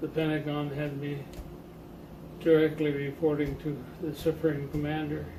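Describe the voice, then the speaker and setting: Over noticeable background noise, a man with a fairly high pitch talks at a moderate pace in a monotone, flat manner. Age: 80s+. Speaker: Navy veteran. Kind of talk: interview answer, reminiscing. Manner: halting, hesitant.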